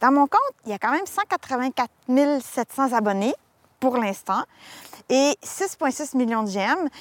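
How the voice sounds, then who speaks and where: A very slow, lively delivery in a Quebec accent, full of long, frequent pauses, with a dry, close sound and no echo. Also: woman, high pitch for a woman. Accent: Québécois French. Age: 40s. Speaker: graphic designer and TikTok creator. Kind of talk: casual interview. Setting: in a car.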